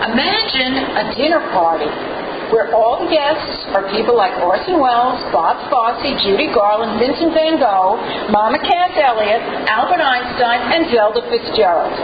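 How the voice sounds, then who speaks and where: Against noticeable background noise, a woman with a high pitch speaks at a fairly slow pace, her pitch swinging very widely. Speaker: humorist and spoken word artist. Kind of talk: humorous storytelling monologue.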